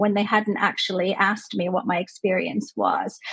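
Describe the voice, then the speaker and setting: Heard in a dry, close sound with no echo, a woman with a Canadian accent has a plain, everyday voice, medium pitch and ordinary pitch variation. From Canada. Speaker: clinical psychologist. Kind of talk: interview conversation.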